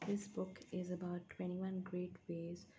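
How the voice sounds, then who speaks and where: A soft-spoken woman with a fairly low pitch, ordinary pitch variation, and a fairly slow pace. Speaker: ASMR creator. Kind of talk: ASMR book reading, soft-spoken summary read from a book chapter.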